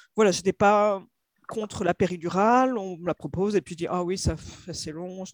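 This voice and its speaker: On a very clean recording over a silent background, a woman's voice sounds dry and close, without echo. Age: 30s. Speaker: mother sharing birth story. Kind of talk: testimony. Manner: halting.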